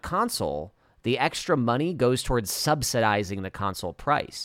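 A man with an unremarkable speaking voice talks at a moderate pace and a medium pitch. His intonation is lively, on a very clean recording with a silent background. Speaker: podcast host. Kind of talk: casual chat.

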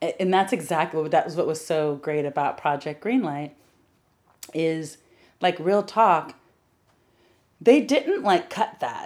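A woman's animated, fairly low voice moves at a fairly slow pace with lively intonation and long, frequent pauses, in a very clean recording with a silent background. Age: 40s. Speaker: film producer. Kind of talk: casual interview.

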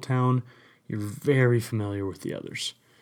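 A man with a normal speaking voice and an American accent talks at a moderate pace, his medium pitch showing ordinary variation. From US West, rural central Utah. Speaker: podcast host. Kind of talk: casual solo monologue. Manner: casual, filler-heavy.

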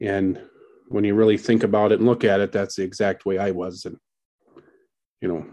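In an American accent, a man talks at a moderate pace with a dark, mellow tone and monotone, flat intonation. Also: quiet background. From southwestern Wisconsin. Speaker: high school baseball coach. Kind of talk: interview.

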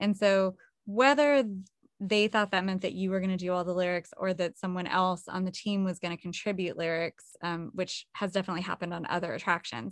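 A woman with a plain, everyday voice talks at a fairly quick pace, her medium pitch showing ordinary pitch variation. The recording is very clean, with a silent background. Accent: American. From California. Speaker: vocalist and songwriter. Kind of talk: casual interview chat.

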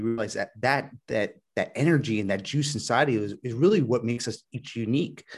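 Lively intonation marks a man speaking at a moderate pace over a quiet background. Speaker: web designer and podcaster. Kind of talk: interview. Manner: halting, repeats words.

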